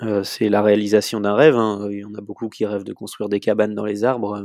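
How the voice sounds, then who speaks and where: This man's voice sits at a fairly low pitch with a dark, mellow tone. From France, Vendée. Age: 30s. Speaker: professional sailor. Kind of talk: interview.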